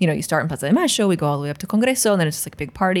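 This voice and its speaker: A woman at a very fast pace, medium pitch, animated tone and lively intonation. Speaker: podcast host. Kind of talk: casual chat. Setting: studio. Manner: animated, joking.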